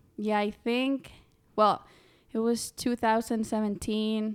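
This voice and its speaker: A woman speaks with a Spanish accent at a fairly high pitch. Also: very clean recording, silent background. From Honduras. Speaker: college student and volleyball player. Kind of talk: casual chat.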